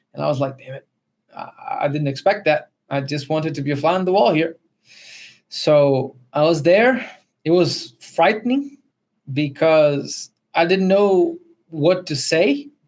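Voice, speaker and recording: Someone with a Spanish accent speaks at a fairly slow pace, leaving long, frequent pauses. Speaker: podcast co-host. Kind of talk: testimony. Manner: halting.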